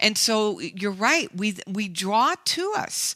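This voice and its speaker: A woman speaks in a fairly high, bright, sharp voice with very wide pitch swings. The recording is very clean, with a silent background. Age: 60s. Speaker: life coach. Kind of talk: interview. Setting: radio show.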